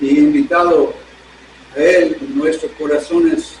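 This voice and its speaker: There is audible room echo and noticeable background noise as a man talks at a very slow pace. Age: 70s. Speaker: pastor. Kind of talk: sermon. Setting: church service streamed online.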